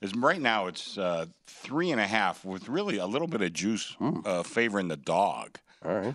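Lively intonation marks a normal speaking voice that moves at a moderate pace over a quiet background. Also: man. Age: 60s. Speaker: sportsbook director. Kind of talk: sports betting talk show.

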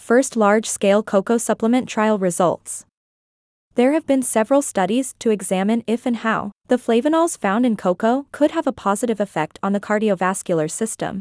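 In an ordinary speaking voice, a woman with fairly high pitch and ordinary pitch variation talks at a moderate pace, the sound dry and close with no echo against a quiet background. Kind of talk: news reading, scripted science and health news item. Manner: formal, precise, rattling off long figures.

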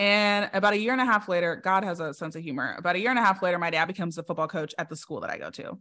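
At a very fast pace with hardly any pauses, a woman speaks in a medium pitch with ordinary pitch variation and a bright, sharp tone. The recording is very clean, with a silent background. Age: 30s. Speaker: business strategist. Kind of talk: interview.

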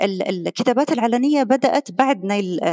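Recorded with a dry, close sound and no echo, a woman's voice swings very widely in pitch. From Qatar. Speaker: professor. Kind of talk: interview.

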